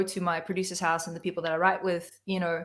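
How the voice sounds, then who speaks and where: The speaker is a woman. She has an American accent. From South Africa. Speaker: singer-songwriter. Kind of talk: interview on a livestream. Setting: video call from home.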